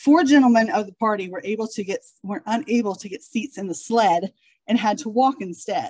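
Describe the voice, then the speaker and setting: With a dark, mellow tone and lively intonation, a woman speaks at medium pitch in a dry, close sound with no echo. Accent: Midwestern American. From Ohio. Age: 40s. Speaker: genealogist. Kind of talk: lecture. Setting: stage with audience.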